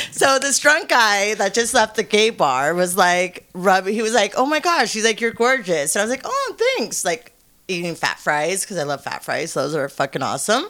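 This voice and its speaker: Amid noticeable background noise, a woman at medium pitch talks at a moderate pace with very wide pitch swings. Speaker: adult film performer. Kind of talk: casual chat interview. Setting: studio.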